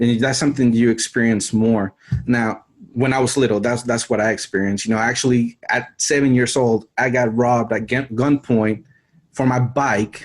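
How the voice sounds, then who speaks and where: A man with an American accent talks at a moderate pace. His delivery is monotone and flat, his loudness very even. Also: medium pitch for a man. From Mexico City, Mexico until age 10, then US. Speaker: survival channel creator. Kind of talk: interview.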